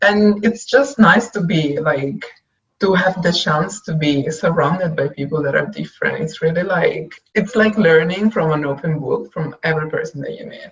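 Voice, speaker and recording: With an Italian accent, a woman talks at a moderate pace in a fairly low pitch. Her intonation is lively, and her loudness swings widely. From Italy. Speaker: web designer. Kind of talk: casual chat.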